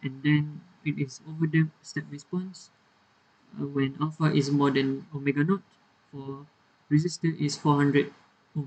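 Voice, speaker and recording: Moderate pace broken by long, frequent pauses, with a somewhat breathy, monotone, flat delivery. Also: man, fairly high pitch for a man. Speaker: university engineering student. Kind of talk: technical tutorial explanation. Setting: poor microphone, uneven volume.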